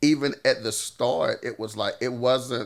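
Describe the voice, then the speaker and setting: In a Southern US accent, the speaker goes at a fairly slow pace. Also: man. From US South, Louisiana. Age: 40s. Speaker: singer-songwriter. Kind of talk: casual chat. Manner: halting.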